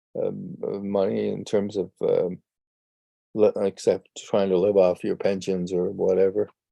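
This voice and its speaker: Fairly slow speech from a man, with music in the background. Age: 80s+. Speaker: entrepreneur and life coach. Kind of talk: podcast interview. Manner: hesitant, repeats words.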